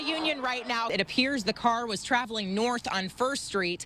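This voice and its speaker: A woman speaks at a high pitch with an American accent. Music plays in the background. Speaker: TV news reporter and anchor. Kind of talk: on-location field reporter stand-up.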